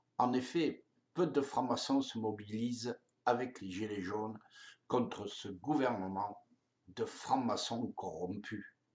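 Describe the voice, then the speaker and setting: At a very slow pace, a man speaks with medium pitch and ordinary pitch variation. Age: 70s. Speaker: political activist. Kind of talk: open letter addressed to the president. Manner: angry, impassioned.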